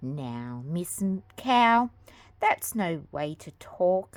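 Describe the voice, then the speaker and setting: A put-on character voice, female-sounding, at a middle pitch and a very slow pace, on a very clean recording with a silent background. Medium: read story. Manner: gentle.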